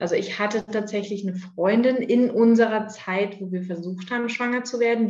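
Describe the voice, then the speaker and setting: A woman at a fairly quick pace, fairly even intonation, audible room echo and noticeable background noise. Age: 30s. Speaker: adoptive mother, clinical research worker. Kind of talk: interview, personal story.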